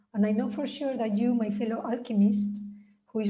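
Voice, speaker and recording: With audible room echo, a woman speaks at a moderate pace in a fairly high pitch. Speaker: author and spiritual healer. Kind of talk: reading aloud. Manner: droning.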